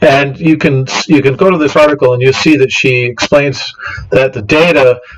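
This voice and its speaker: Noticeable background noise accompanies a man whose pitch varies in an ordinary way. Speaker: science podcast host. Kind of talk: presentation with slides. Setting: home studio, livestream on battery power. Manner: fast; halting, many fillers and restarts.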